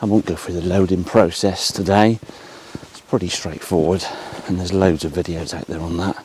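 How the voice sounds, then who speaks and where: Speaking at a fairly quick pace, a man has a very deep, low voice and fairly even intonation. His loudness swings widely, over noticeable background noise. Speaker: photographer. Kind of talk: casual vlog narration. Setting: outdoors.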